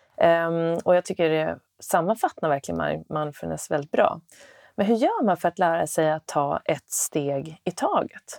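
A woman talks at a fairly slow pace, her voice dry and close with no echo. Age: 40s. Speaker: podcast host, former golf pro. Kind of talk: casual interview chat; scripted podcast outro. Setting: basement yoga studio.

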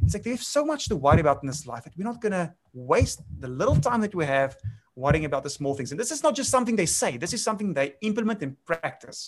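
With a South African accent, a man races along at a very fast pace, his pitch swinging very widely. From South Africa, grew up on a farm. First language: Afrikaans. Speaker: winemaker. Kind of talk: casual interview chat.

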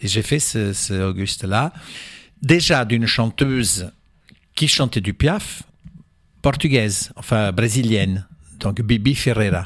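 A man at a medium pitch with ordinary pitch variation, a very slow pace and long, frequent pauses, on a very clean recording with a silent background. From Portugal and Angola. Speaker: cabaret performer. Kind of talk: radio interview. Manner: halting.

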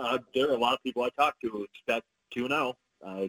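A man's normal speaking voice moves at a fairly quick pace, with medium pitch and ordinary pitch variation. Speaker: sports journalist. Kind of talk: casual sports chat.

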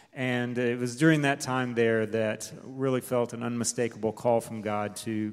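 With an American accent, a man talks at a moderate pace in a medium pitch and fairly even intonation. Music plays in the background. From Delaware, US. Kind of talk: testimony. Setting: church.

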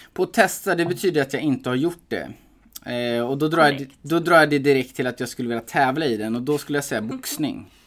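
Fairly quick and fairly high-pitched, a man speaks with ordinary pitch variation on a very clean recording with a silent background. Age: 30s. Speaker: MMA fighter. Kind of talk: casual chat. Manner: talkative.

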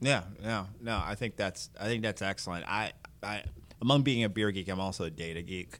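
Man with an ordinary speaking voice, fairly low pitch, ordinary pitch variation, a fairly quick pace and big swings in loudness. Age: 40s. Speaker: podcast host. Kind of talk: casual interview.

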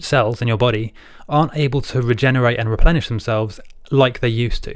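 An unremarkable speaking voice, this man talks fairly quickly at a medium pitch. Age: 20s. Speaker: supplement reviewer on a video channel. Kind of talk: tutorial. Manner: casual, with filler words.

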